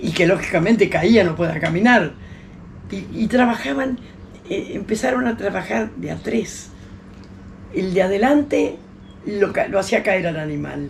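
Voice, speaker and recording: Over noticeable background noise, a woman talks at a fairly slow pace with long, frequent pauses. Her medium-pitched voice has lively intonation. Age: 80s+. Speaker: historian and teacher. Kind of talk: interview. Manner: halting.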